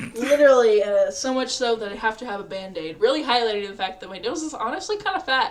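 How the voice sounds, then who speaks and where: With lively intonation, a woman talks at a very fast pace, her loudness swinging widely. Noticeable background noise can be heard. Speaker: streamer. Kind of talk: casual chat. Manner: animated.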